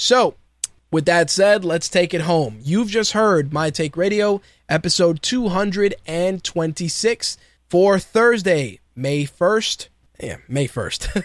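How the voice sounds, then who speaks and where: A man with a New York accent and a high pitch at a very slow pace, on a very clean recording with a silent background. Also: lively intonation. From New York City (Queens), Puerto Rican heritage. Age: 30s. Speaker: podcast host. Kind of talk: casual monologue.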